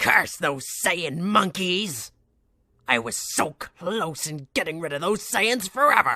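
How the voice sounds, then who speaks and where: A cartoonish character voice sits at a middle pitch. It moves at a fairly slow pace. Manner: menacing, gloating.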